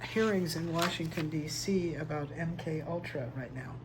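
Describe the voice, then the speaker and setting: There is noticeable background noise and audible room echo. A man with a fairly high pitch talks at a fairly slow pace. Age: 60s. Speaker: tarot reader vlogger. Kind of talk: personal testimony monologue. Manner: quiet, struggling to project.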